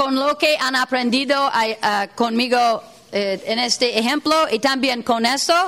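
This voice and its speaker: With a non-native accent, a woman with a high voice speaks at a very slow pace with ordinary pitch variation over noticeable background noise. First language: not Spanish (speaking Spanish). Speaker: workshop facilitator. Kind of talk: workshop lecture. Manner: halting, many fillers.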